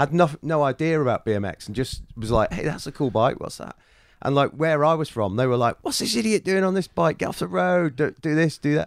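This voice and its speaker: In a northwest English accent, a man talks at a fairly quick pace and a fairly high pitch, with very wide pitch swings. The recording is very clean, with a silent background and a dry, close sound with no echo. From northern England, Chester. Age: 40s. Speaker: BMX rider. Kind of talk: casual chat. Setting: in person.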